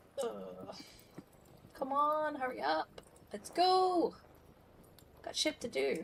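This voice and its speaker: A woman speaks very slowly, with long, frequent pauses. Noticeable background noise runs underneath. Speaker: video game streamer. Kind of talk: casual live-stream chat.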